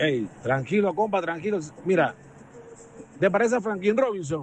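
Lively in intonation, a man with a high voice speaks at a moderate pace.

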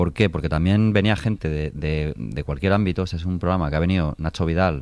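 This man has a low-pitched, slightly mellow voice with ordinary pitch variation. He talks at a fairly quick pace.

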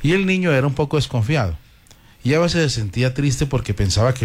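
Lively intonation colors the unforced voice doing the reading.

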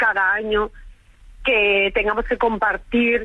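A woman speaks at a medium pitch. Her pitch moves very little.

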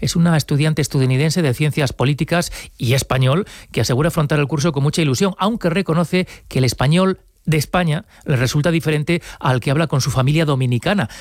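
A man talks at a fast pace with few pauses, his pitch fairly high and its variation ordinary. The recording is very clean, with a silent background.

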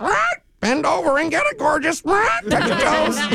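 A squeaky, high-pitched put-on character voice at a fairly slow pace.

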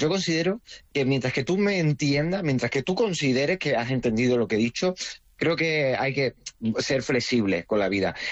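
With an Andalusian accent, a man of medium pitch talks at a moderate pace with lively intonation. He takes few pauses.

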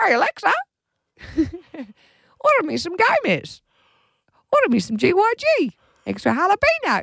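A put-on character voice at an extremely high pitch, fairly slow, with long, frequent pauses. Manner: sassy.

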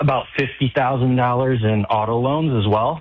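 A man at a moderate pace, medium-pitched with a slightly husky edge and ordinary pitch variation.

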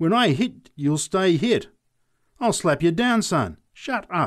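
Loud and slow, a man uses a put-on character voice pitched high with big pitch swings.

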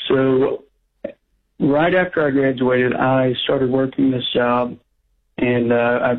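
Speaking slowly at a medium pitch, a man keeps his intonation fairly even.

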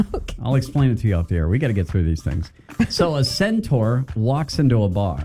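Natural voice for reading

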